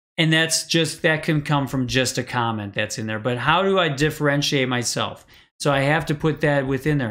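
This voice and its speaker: A man speaks with a Wisconsin accent at a fairly high pitch. The recording is very clean, with a silent background. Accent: Wisconsin accent, self-described as weird. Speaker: live-stream coach on social media marketing. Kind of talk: live stream talk. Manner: casual, filler-heavy.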